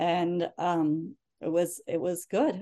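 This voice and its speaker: Against a quiet background, a woman speaks at a medium pitch with an American accent. Her tone is dark and mellow. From Northern Virginia, US. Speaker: tech company senior manager. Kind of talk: interview, casual chat. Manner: animated.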